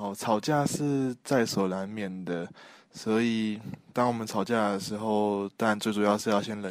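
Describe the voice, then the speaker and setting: The recording is very clean, with a silent background. A man speaks in a plain, everyday voice at a fairly low pitch with fairly even intonation. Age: 20s. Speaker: university student. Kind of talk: interview answers.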